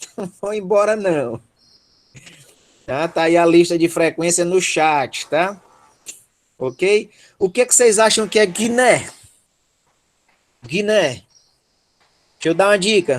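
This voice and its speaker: A man with a Ceará accent and a high pitch speaks at a very slow pace, with long, frequent pauses. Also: lively intonation. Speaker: teacher. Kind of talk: online lecture. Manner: animated.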